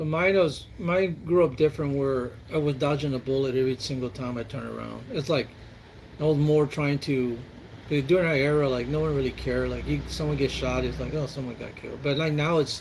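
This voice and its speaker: In an American accent, a man speaks at a fairly high pitch and fairly quick pace. His intonation is fairly even, with noticeable background noise behind him. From Texas, San Antonio. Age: 60s. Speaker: military veteran. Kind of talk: casual chat.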